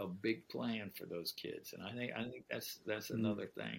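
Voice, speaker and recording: A man talks at a moderate pace with a bright, sharp tone. His intonation stays fairly even. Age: 70s. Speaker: author and pastor. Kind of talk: casual chat.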